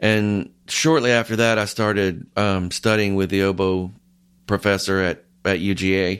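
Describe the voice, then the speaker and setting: A man with an American accent speaks in a fairly low voice with fairly even intonation. It is an unremarkable speaking voice on a very clean recording with a silent background. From US South, north Georgia. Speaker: orchestral oboist. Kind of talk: interview.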